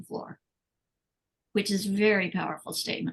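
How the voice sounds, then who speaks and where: A woman's fairly quick speech with vocal fry. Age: 70s. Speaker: animal rights activist. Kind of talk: interview conversation. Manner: animated.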